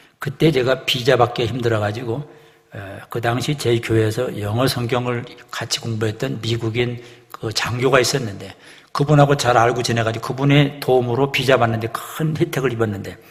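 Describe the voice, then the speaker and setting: Noticeable background noise beneath speech of fairly even intonation. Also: man, medium pitch for a man. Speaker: pastor giving a lecture to pastors. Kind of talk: lecture. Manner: fast.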